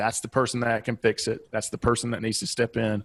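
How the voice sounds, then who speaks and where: Speaking very fast in a Southeastern US accent, a man with a medium pitch comes across on a very clean recording with a silent background and a dry, close sound with no echo. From US Southeast. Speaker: business and life coach, author. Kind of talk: podcast interview.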